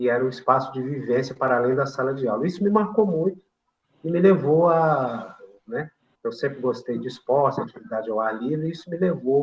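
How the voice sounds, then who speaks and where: A man's fairly high, somewhat breathy voice, fairly quick and lively in intonation. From Brazil, São João del Rei, Minas Gerais. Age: 60s. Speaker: retired physical education professor. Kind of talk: interview. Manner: halting, many fillers.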